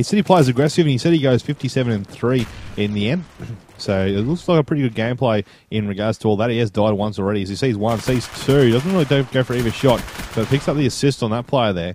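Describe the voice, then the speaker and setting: Speaking at a very fast pace, a man with an Australian accent uses a medium pitch with ordinary pitch variation. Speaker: radiographer. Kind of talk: gameplay commentary. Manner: casual, chatty.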